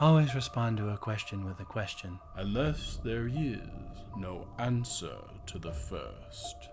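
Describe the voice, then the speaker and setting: Against clear background noise, a man uses a put-on character voice at medium pitch and a fairly slow pace. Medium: actual play. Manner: haughty, cold and mocking.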